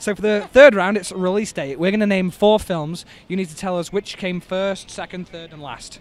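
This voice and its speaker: A man with an English accent talks at a moderate pace and a high pitch, with ordinary pitch variation. His loudness swings widely, and the sound is dry with no echo. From England. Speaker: quiz podcast host. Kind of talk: street quiz game. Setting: outdoors. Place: street.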